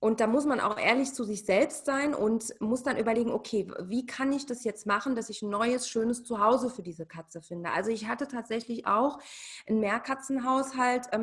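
With a fairly high pitch, a woman speaks at a moderate pace with ordinary pitch variation in an ordinary speaking voice. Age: 40s. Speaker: cat behaviour consultant. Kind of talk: casual interview.

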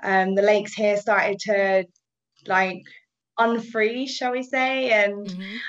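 This woman talks at a fairly slow pace. She speaks with a British accent. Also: medium pitch for a woman, fairly even intonation. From England. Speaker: paddleboard tour operator. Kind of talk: casual chat.

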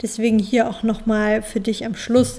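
A woman speaks at a fairly high pitch. Noticeable background noise is present. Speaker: podcast host and mental coach. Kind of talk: interview.

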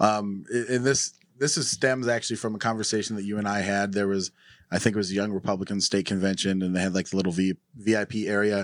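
Very fast speech from a man with an American accent and a fairly low pitch. His intonation stays fairly even, and the recording is very clean, with a silent background. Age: 30s. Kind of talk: casual interview.

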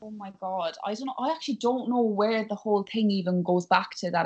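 Speaking in a Cork accent, a woman keeps a fairly quick pace. Her pitch varies in an ordinary way. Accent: Cork Irish. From Ireland, West Cork. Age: young. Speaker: actress. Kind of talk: casual interview. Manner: animated.

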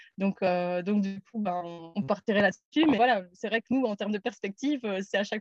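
With a dry, close sound and no echo, a woman talks in an unremarkable speaking voice. Her pitch is medium, with ordinary variation, at a moderate pace. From Belgium, Namur. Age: 30s. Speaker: van traveller. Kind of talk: casual interview.

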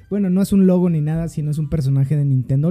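Very fast and somewhat breathy, a man's dark, mellow voice sits fairly high in pitch with ordinary pitch variation. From Mexico, Estado de México. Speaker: podcast host. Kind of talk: casual chat.

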